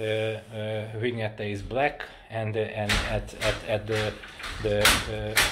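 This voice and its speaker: Over noticeable background noise, a man speaks at a very slow pace and a medium pitch. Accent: Hungarian. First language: Hungarian. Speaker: cycling hobby vlogger. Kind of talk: casual product demo. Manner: halting, many fillers and repeats.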